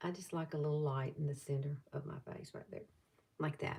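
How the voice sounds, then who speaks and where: The speaker uses a Southern US accent at a fairly quick pace. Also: woman. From US South, Alabama. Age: 60s. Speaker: beauty vlogger. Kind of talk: makeup tutorial livestream. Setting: live stream. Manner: casual, chatty.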